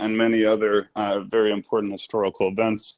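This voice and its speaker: A man with an unremarkable speaking voice, medium in pitch, at a moderate pace. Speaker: podcast host. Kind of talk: podcast introduction.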